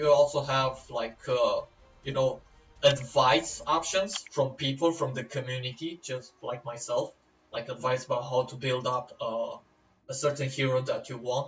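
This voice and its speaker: In a non-native accent, a man speaks at a fairly slow pace and medium pitch with fairly even intonation. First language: not English. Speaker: gaming YouTuber. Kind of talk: game tutorial. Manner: casual, hesitant with fillers.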